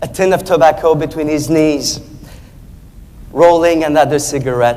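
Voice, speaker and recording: Over noticeable background noise, a man with a French accent speaks at a moderate pace in a fairly high pitch. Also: fairly even intonation. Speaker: speech contest competitor. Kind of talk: contest speech.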